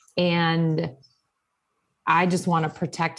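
In a very clean recording with a silent background, a woman with an American accent speaks at a very slow pace in a fairly low pitch. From Wisconsin, US Upper Midwest. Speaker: church social media manager. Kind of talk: interview, casual chat.

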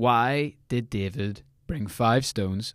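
A man speaks with a Northern Irish accent and ordinary pitch variation. The recording is very clean, the background silent. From Northern Ireland. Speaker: devotional podcast host. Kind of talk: casual devotional podcast talk.

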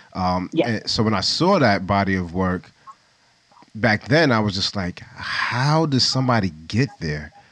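A man talks at a fairly slow pace with lively intonation and a fairly low pitch. Noticeable background noise runs underneath. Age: 40s. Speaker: podcast host, photographer. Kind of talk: casual interview. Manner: laid-back.

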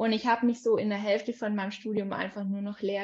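Her voice is fairly high for a woman and somewhat breathy. The woman keeps her intonation fairly even. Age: 20s. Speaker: life coach. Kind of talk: casual chat.

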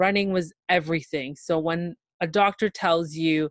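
Here a woman with a Canadian accent has an unremarkable speaking voice, fairly low in pitch with ordinary pitch variation. The recording is very clean, with a silent background and a dry, close sound with no echo. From Toronto, Ontario, Canada. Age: 20s. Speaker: guest sharing health story. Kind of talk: casual interview, personal testimony.

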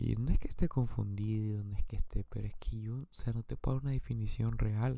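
A man at a fairly quick pace with hardly any pauses, on a very clean recording over a silent background. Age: 20s. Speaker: podcaster. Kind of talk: personal monologue.

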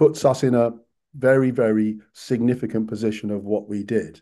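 Against a quiet background, a man with a British accent talks at a moderate pace in a fairly low pitch, his tone dark and mellow and his intonation fairly even. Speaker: former politician. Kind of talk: radio interview.

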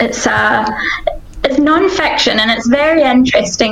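Noticeable background noise behind a woman's voice of ordinary pitch variation. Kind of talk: casual chat.

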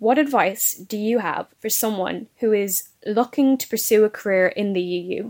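Hers is a normal speaking voice, pitched fairly high. The pace is moderate, and the pitch variation is ordinary. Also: hardly any pauses. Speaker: podcast host. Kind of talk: interview with prepared questions.

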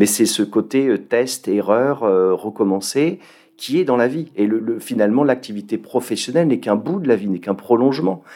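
On a very clean recording with a silent background, a man speaks at a moderate pace in a dark, mellow tone, with medium pitch and ordinary pitch variation. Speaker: entrepreneur. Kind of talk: interview. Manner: halting.

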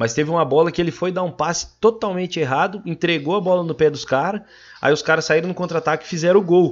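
The man's voice is high in pitch with ordinary variation. He talks at a fairly quick pace. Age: 20s. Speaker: podcast guest, agribusiness sales worker. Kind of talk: casual chat.

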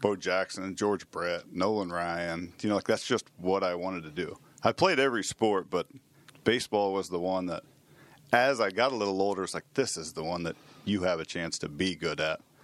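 A man with an American accent speaks at a moderate pace in a very deep, low voice. The sound is dry and close, with no echo. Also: ordinary pitch variation. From Manhattan, Kansas, US Midwest. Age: 40s. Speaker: former professional baseball player. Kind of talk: casual interview. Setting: studio.

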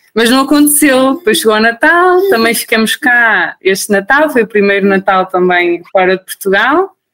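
At a moderate pace with hardly any pauses, a woman's fairly high voice makes very wide pitch swings at very even loudness, in a dry, close sound with no echo. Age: 30s. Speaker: new mother sharing birth story. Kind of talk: interview testimony.

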